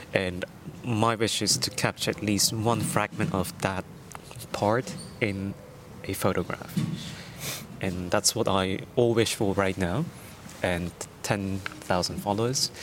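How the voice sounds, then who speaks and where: Fairly low in pitch, a man speaks at a very slow pace with ordinary pitch variation. Long, frequent pauses break up his speech. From Netherlands. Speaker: street photographer. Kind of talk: casual interview. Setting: outdoors on a park bench.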